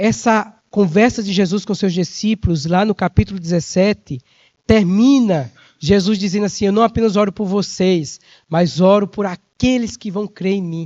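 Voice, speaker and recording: A high-pitched man at a fairly slow pace. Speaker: preacher. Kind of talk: sermon. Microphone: microphone swapped after cutting out.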